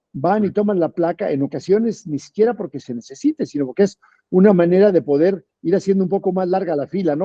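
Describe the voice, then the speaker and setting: Talking at a fairly quick pace, a man with a high-pitched voice uses lively intonation. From Mexico. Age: 60s. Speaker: politician and physician. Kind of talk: interview.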